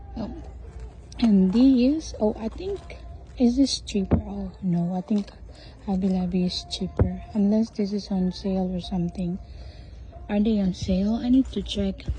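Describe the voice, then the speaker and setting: With long, frequent pauses, a woman speaks at a fairly slow pace amid noticeable background noise. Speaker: shopping vlogger. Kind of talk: casual store walkthrough vlog. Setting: inside a craft store. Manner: soft-spoken, whispered.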